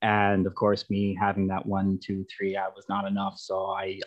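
A man with a Canadian accent speaks in a fairly low pitch, with monotone, flat intonation. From western Canada (Calgary, Alberta). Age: 20s. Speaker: recovering alcoholic sharing his story. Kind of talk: personal testimony in radio interview. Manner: hesitant, many fillers.

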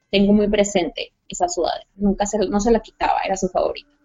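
A woman uses a plain, everyday voice at a fairly high pitch. She talks at a moderate pace. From Mexico, Sonora. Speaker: guest sharing paranormal experiences. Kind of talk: personal story telling.

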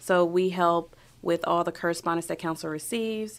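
On a very clean recording with a silent background, a woman with an American accent speaks at a fairly low pitch with ordinary pitch variation. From New York City, Brooklyn. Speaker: city clerk of council. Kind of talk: casual interview. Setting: podcast studio. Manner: hesitant, many ums.

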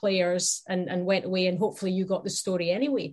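A woman talks with a Scottish accent. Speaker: sports broadcaster. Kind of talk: casual chat.

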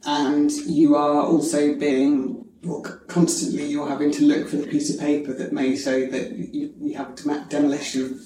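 A woman with a very deep, low voice speaks at a moderate pace with ordinary pitch variation, amid noticeable background noise and audible room echo. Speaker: podcast host. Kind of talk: interview. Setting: noisy room. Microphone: poor audio quality.

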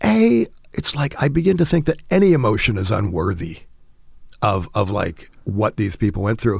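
Somewhat breathy, the voice has an American accent and a moderate pace. Its pitch swings very widely. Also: man, fairly low pitch for a man. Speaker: writer. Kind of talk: interview. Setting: home studio in garage.

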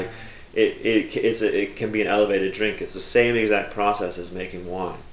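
Over noticeable background noise and audible room echo, a man with an American accent talks at a moderate pace in a fairly low voice. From United States. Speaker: cider maker. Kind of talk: casual interview. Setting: under railway arches, trains passing.

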